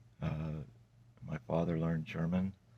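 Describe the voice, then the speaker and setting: Soft-spoken and at a fairly slow pace, a man talks with a very deep, low pitch and a dark, mellow tone. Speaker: testimony vlogger. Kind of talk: testimony. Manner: halting.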